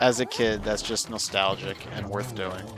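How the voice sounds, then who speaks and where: Music plays in the background while a man speaks. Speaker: video game streamer. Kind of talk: casual live-stream chat while gaming. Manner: sometimes fast and mumbling.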